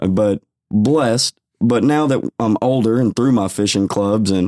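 A man's fairly low, dark, mellow voice with an American accent and ordinary pitch variation, dry and close with no echo, in a very clean recording with a silent background. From Texas, Waco. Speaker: fishing club founder. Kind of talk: interview.

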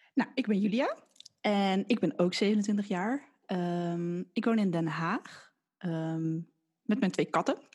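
The speech moves at a very slow pace with lively intonation. The background is quiet. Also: woman, medium pitch for a woman. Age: 20s. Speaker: podcast co-host, physiotherapist recovering from burnout. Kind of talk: casual chat.

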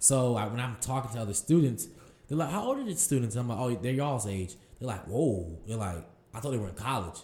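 Talking very fast with lively intonation, a man with an American accent has a medium-pitched, somewhat breathy voice with a dark, mellow tone, and the room echo is audible. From Durham, North Carolina. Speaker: farmer and farm founder. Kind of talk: interview.

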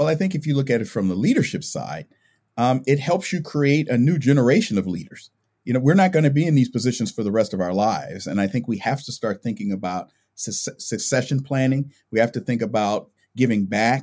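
On a very clean recording with a silent background, a man with an American accent speaks fairly quickly at medium pitch, his tone dark and mellow and his intonation lively. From California. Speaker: university administrator. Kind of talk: interview.

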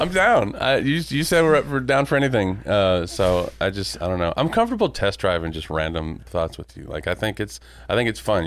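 At a moderate pace, a man talks with vocal fry. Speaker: podcast host. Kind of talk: casual interview chat. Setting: in person, recording in a room.

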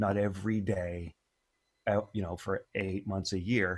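Recorded dry and close with no echo in a very clean recording, silent background, a man with a Canadian accent speaks very slowly in a monotone, flat intonation at a fairly low pitch. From Ontario, Canada. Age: 50s. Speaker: music producer and educator. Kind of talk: casual interview.

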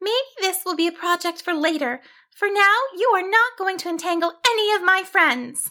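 Putting on a character voice, a woman talks at a moderate pace with an extremely high pitch, a bright, sharp tone and lively intonation, in a very clean recording with a silent background.

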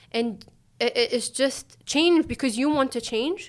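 A woman talks with an Arabic accent. The recording is very clean, with a silent background. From Tunisia. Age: 30s. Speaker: Olympic athlete. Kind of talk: casual interview chat.

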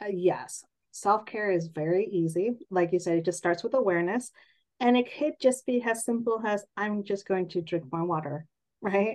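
This woman talks at a moderate pace in a medium pitch, with ordinary pitch variation. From San Jose, California, US. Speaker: naturopathic doctor and author. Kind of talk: interview conversation.

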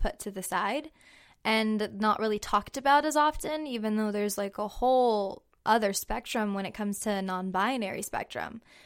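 A woman with an unremarkable speaking voice, medium pitch and a fairly quick pace, in a very clean recording with a silent background. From Central California. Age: 20s. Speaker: LGBT youth program participant. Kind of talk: interview.

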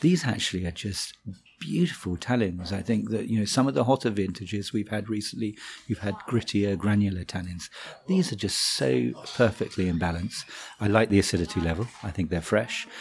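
This man talks at a fairly quick pace in a fairly low pitch with vocal fry and ordinary pitch variation. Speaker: wine merchant buying director. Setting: office interview.

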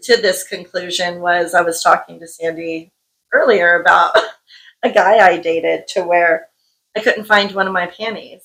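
A woman with a bright, sharp tone speaks at a moderate pace. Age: 40s. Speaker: intimacy coach and podcast co-host. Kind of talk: casual chat.

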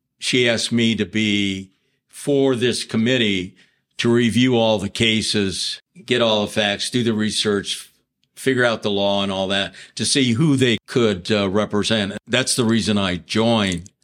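Fairly low in pitch, a man with an American accent uses a normal speaking voice at a fairly slow pace with fairly even intonation. The recording is very clean, with a silent background. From Ohio (Mansfield). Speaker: lawyer. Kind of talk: casual chat.

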